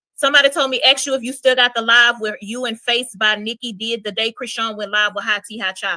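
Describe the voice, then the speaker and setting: A woman with a Louisiana accent speaks at a very fast pace with hardly any pauses, her tone animated, bright and sharp. Her pitch is fairly high, and the sound is dry and close with no echo. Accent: US Southern, Louisiana. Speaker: streamer, gossip content creator. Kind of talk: live stream chat.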